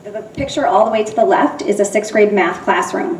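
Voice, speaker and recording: A loud woman with an American accent, fairly quick pace and very wide pitch swings, amid noticeable background noise and audible room echo. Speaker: middle school teacher. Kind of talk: public presentation. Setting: school building open house, audience present.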